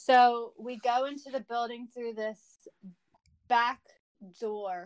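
A woman talks with an American accent. Her voice sounds dry and close, with no echo. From New Jersey. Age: 30s. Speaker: nurse. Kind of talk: storytelling.

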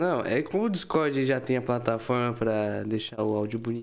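This man has a medium-pitched voice with ordinary pitch variation. His pace is moderate. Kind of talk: casual chat.

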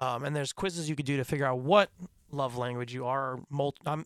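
At a fairly quick pace, a man talks in a normal speaking voice with medium pitch and fairly even intonation. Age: 20s. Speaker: podcast host. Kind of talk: casual chat. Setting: studio.

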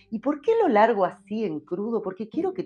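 A woman speaks at a moderate pace. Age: 50s. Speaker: podcast host. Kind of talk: solo podcast monologue.

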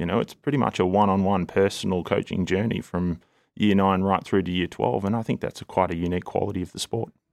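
Speaking at a very fast pace in an Australian accent, a man with a very deep, low pitch comes through on a very clean recording with a silent background and a dry, close sound with no echo. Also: ordinary pitch variation. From Melbourne, Australia. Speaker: head of rowing.

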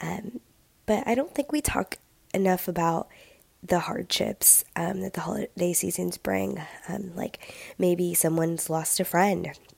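This woman's tone is slightly mellow, with a slightly husky edge and vocal fry. She talks at a fairly slow pace with ordinary pitch variation. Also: fairly low pitch for a woman.

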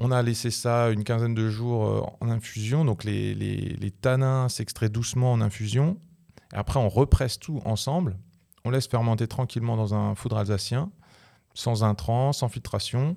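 The man's tone is dark and mellow, his pitch medium. He speaks at a fairly slow pace. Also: ordinary pitch variation. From France, Alsace, near Strasbourg. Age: 30s. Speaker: winemaker. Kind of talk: casual chat. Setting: studio.

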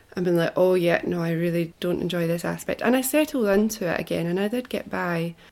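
This woman has a Scottish accent and a fairly low pitch, speaking at a fairly quick pace. The recording is very clean with a silent background. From Scotland. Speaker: musician, former primary school teacher. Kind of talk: casual interview.

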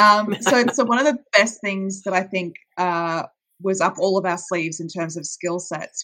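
In an Australian accent, a woman talks with a fairly low pitch. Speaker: audio drama producer. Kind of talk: podcast interview.

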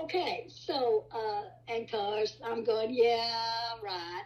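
A woman with a West Texas accent speaks at a fairly high pitch. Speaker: storyteller, host's grandmother. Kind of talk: personal ghost story.

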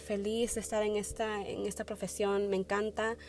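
Here a woman speaks at a medium pitch and a moderate pace. Her intonation is monotone and flat. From Wisconsin, US (born in Peru). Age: 20s. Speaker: nursing student, podcaster. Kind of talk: solo personal monologue. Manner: hesitant, many fillers.

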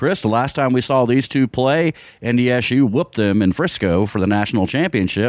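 A man speaks at a moderate pace with ordinary pitch variation in an ordinary speaking voice. The recording is very clean, with a silent background. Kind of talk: radio ad read, sales pitch. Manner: brisk, earnest, polished announcer pitch.

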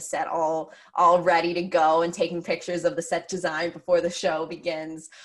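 A woman speaks in a fairly low pitch with an American accent. Her intonation is monotone and flat. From Pennsylvania. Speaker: theatre director and actress. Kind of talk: casual interview. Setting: video call.

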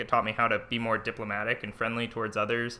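Talking at a very fast pace, a man has a medium-pitched voice with a bright, sharp tone. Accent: American. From US West, Livermore, California. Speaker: student government candidate. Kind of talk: casual interview. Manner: halting.

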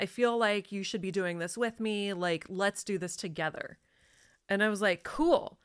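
In an ordinary speaking voice, a woman at medium pitch talks at a moderate pace with ordinary pitch variation on a very clean recording with a silent background. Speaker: entrepreneur and podcast host. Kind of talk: casual chat.

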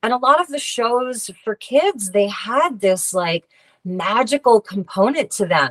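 An unremarkable speaking voice with an American accent, lively intonation and a fairly slow pace, in a dry, close sound with no echo. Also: woman, fairly high pitch for a woman. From US Northeast, Long Island, New York. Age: 40s. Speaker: tarot reader and healer. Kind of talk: interview.

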